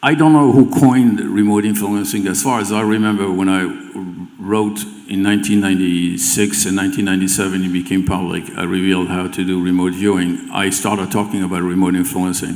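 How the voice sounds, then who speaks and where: A man with a French accent and a very deep, low pitch, ordinary pitch variation, audible room echo and noticeable background noise. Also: fairly quick pace. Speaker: remote viewing teacher. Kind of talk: stage interview. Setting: event stage with audience. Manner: halting, many repeated words.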